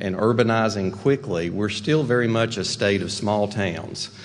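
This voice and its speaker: In a Western North Carolina accent, a man talks at a moderate pace with a fairly low pitch and fairly even intonation over noticeable background noise. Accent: Western North Carolina mountain. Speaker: rural development executive. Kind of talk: keynote speech.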